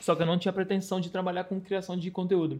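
This man speaks at a high pitch. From Rio de Janeiro, Brazil. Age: 30s. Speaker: travel content creator. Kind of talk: casual chat.

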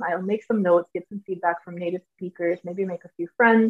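A woman's normal speaking voice at a medium pitch, with an American accent, fairly even intonation and a fairly quick pace. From US South, Georgia. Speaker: English language teacher. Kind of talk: casual chat.

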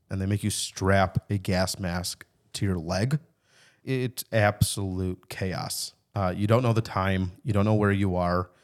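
A man's fairly low voice in a Chicago accent, at a fairly slow pace with fairly even intonation, dry and close with no echo on a very clean recording with a silent background. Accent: Chicago American English. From US Midwest (Chicago). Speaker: army veteran. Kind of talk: casual chat. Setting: studio.

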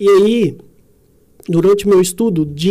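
A man's high pitch with a dark, mellow tone and ordinary pitch variation. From Brazil, Minas Gerais (Sete Lagoas). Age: 30s. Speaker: entrepreneur and innovation mentor. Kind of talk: casual chat.

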